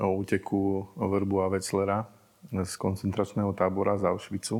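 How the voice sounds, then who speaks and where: The speaker is a man with a fairly low pitch. He talks at a moderate pace. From Slovakia. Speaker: podcast host. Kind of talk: scripted narration; interview. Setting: improvised studio in a museum.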